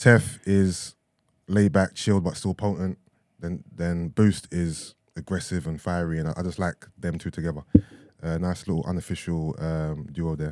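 The recording is very clean, with a silent background and a dry, close sound with no echo. A man speaks at a moderate pace with a very deep, low pitch. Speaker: podcast co-host, entertainment news segment. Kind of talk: casual chat.

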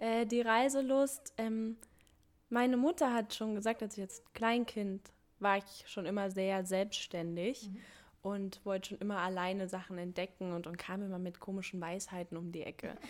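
A woman with an ordinary speaking voice speaks moderately fast at medium pitch, her pitch varying in an ordinary way. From Thuringia, Germany. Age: 20s. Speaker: community initiative organizer, working student. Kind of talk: casual interview chat.

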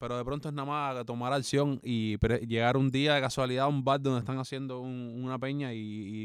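In a Cuban accent, a man talks at a fairly quick pace with a medium pitch and monotone, flat intonation. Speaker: podcast co-host and musician. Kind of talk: casual chat.

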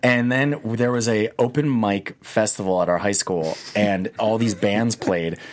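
A man with an American accent and a normal speaking voice, fairly low-pitched, with ordinary pitch variation, very even loudness, a fairly slow pace and hardly any pauses. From New Jersey suburbs, US. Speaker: film writer and director. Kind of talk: interview.

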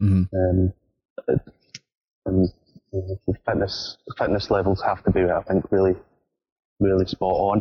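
A man with a Scottish accent speaks at a fairly slow pace in a very deep, low voice that is somewhat breathy. His intonation is monotone and flat, his loudness very even, and his pauses long and frequent. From Scotland. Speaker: football fan, show patron. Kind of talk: casual chat.

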